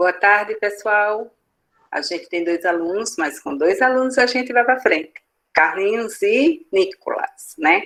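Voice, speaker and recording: A woman with a medium pitch and lively intonation talks at a fairly slow pace. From Northeast Brazil, Alagoas. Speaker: teacher. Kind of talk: online class. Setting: video call. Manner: halting.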